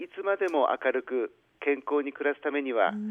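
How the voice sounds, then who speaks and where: Pitch variation is ordinary in this man's delivery. He has an unremarkable speaking voice and keeps a moderate pace. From Hachinohe, Aomori, northern Japan. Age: 60s. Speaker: city mayor. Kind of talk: formal radio interview answers, partly read. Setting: phone call. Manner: formal.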